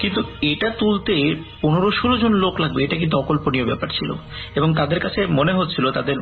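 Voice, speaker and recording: A man is speaking. Music plays in the background. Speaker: horror story narrator reading a listener's story. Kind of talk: horror radio story narration.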